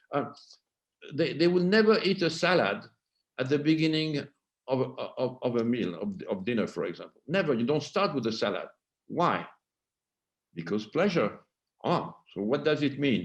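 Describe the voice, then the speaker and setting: With vocal fry and a fairly high voice, a man speaks at a moderate pace, swinging very widely in pitch and leaving long, frequent pauses. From France. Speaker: cultural anthropologist and author. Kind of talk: interview. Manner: halting, repetitive.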